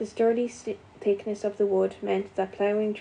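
Here a passage is simply read out. Its intonation remains fairly even.

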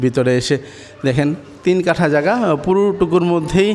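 There is noticeable background noise as a man speaks with lively intonation. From Bangladesh, Gazipur. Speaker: real estate video host. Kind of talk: property tour sales pitch. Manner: animated.

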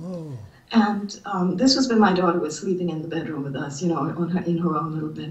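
Audible room echo carries a woman's voice at a fairly quick pace. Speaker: writer and college teacher. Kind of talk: interview. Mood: earnest, distressed storytelling. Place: home room. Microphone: video call.

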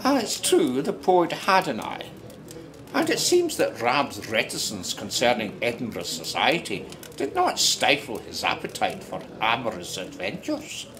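With music playing in the background, a man with an Ayrshire accent talks at a fairly slow pace. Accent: Scottish, Ayrshire. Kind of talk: period audio drama narration, fireside storytelling. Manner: warm, conversational, unhurried storyteller.

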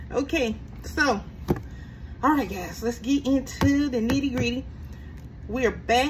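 A woman talks at a fairly slow pace. Noticeable background noise can be heard. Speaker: budgeting channel host. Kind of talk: casual vlog chat. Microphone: phone near.

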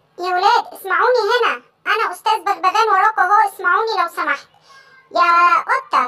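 The cartoonish character voice is pitched extremely high. It moves at a moderate pace.

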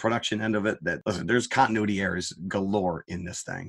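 Against a quiet background, a man talks at a fairly low pitch with ordinary pitch variation, the sound dry and close with no echo. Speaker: film review podcast co-host. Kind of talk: casual chat. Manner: animated.

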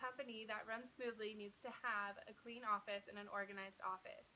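A woman's fairly high voice at a moderate pace, with fairly even intonation and light background noise. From Utah (Provo). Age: 20s. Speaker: job applicant. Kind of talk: video job application pitch. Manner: formal. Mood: upbeat, confident, smiling. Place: home room. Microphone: phone near.

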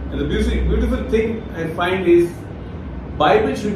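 A man's voice carries audible room echo amid noticeable background noise. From India, Rajasthan. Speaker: retired forest service officer and Bible teacher. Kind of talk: online Bible talk. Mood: calm, smiling. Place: home room.

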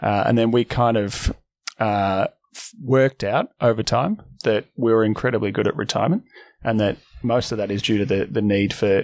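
The man talks at a fairly quick pace. His intonation stays fairly even. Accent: Australian. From Melbourne, Australia. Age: 40s. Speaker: financial advice firm founder. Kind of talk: casual interview. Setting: office.

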